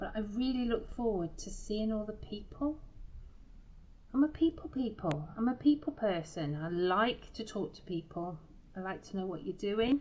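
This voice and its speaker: With very wide pitch swings and big swings in loudness, a woman with a fairly high voice speaks at a moderate pace. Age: 50s. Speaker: craft shop owner and tutor. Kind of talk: craft tutorial livestream. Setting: Facebook live broadcast. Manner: casual, chatty.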